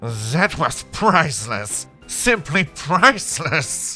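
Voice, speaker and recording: Putting on a character voice, a man speaks very slowly at a fairly high pitch with very wide pitch swings, while faint music plays in the background. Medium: read story. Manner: theatrical, laughing.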